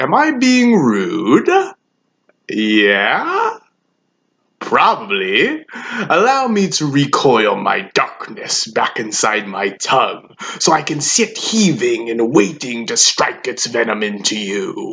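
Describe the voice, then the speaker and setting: A put-on character voice at a middle pitch and a very slow pace. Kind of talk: acting monologue. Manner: menacing, taunting.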